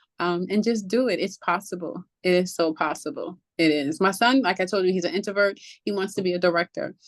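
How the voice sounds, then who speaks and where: Over a quiet background, a woman with an American accent and medium pitch talks at a fairly quick pace with ordinary pitch variation and hardly any pauses. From New York. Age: 40s. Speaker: children's book author. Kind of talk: casual interview. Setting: podcast interview. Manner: animated.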